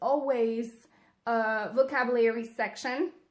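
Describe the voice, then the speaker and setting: A woman with a French accent speaks at a very slow pace in a high pitch with fairly even intonation, on a very clean recording with a silent background. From France, near Lyon. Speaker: English teacher, vlogger. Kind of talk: casual vlog talk to camera. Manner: halting, many fillers.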